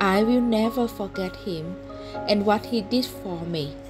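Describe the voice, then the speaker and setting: A woman speaks at a fairly slow pace with a Vietnamese accent. Music plays in the background. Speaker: non-native English learner reading stories aloud. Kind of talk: read short story.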